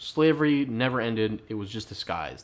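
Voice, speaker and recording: A man's medium-pitched voice, with ordinary pitch variation, comes through on a very clean recording, silent background. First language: not English. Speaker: podcast host. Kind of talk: casual chat. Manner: rambling, halting.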